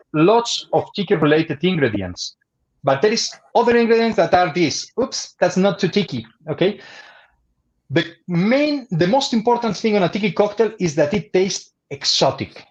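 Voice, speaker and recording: A high-pitched man with a Spanish accent speaks at a moderate pace. He leaves long, frequent pauses. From Spain. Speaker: bartender. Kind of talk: educational livestream presentation. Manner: halting.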